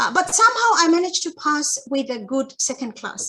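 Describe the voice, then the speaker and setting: In a raised, projected voice with a bright, sharp tone, a woman with a Bangladeshi accent speaks at a moderate pace, her pitch swinging very widely. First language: Chakma. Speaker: academic researcher. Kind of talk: academic webinar talk. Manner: hesitant, many fillers.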